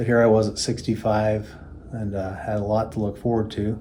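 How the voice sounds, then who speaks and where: A man's dark, mellow voice at a fairly slow pace, monotone and flat, with audible room echo. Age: 60s. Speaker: patient. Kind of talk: testimony. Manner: halting, with frequent fillers.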